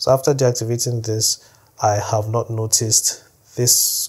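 A man speaks in a somewhat breathy voice at a fairly slow pace, with monotone, flat intonation. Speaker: tech tutorial creator. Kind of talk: tutorial. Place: home room.

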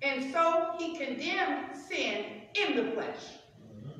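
A woman talks at a fairly slow pace with strong room echo. Light background noise can be heard. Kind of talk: scripture reading and teaching. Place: church. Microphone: camera far.

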